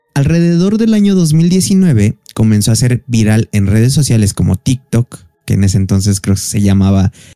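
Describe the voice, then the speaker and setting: Against a quiet background, a man speaks at a moderate pace in a dark, mellow tone with very wide pitch swings. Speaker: podcast host. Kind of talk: casual podcast storytelling. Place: home room. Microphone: studio mic.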